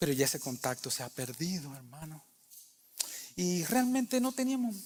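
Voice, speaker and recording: A man speaks with very wide swings in pitch. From Cuba. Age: 60s. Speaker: pastor. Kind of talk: sermon. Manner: conversational.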